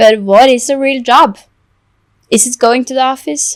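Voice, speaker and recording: A woman with a Norwegian accent at a moderate pace, with ordinary pitch variation and a dry, close sound with no echo. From Norway. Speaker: content creator and illustrator. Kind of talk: podcast interview. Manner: halting.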